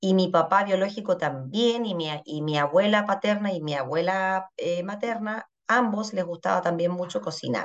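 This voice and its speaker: Against a quiet background, a woman with an unremarkable speaking voice talks at a fairly slow pace, her medium pitch showing ordinary variation. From Chile. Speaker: pastry chef and culinary educator. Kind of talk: casual interview.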